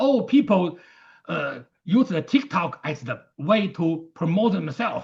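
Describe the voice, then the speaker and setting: Very wide pitch swings and a fairly slow pace in a Chinese accent, against a quiet background. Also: man, high pitch for a man. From China. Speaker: martial arts teacher. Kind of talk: interview conversation. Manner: halting.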